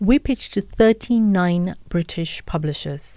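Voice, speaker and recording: A woman speaks in an Indian accent with a fairly low pitch and a dark, mellow tone. Her intonation is lively, and the sound is dry and close with no echo. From India, Mumbai. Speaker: podcaster and author. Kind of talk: interview. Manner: animated.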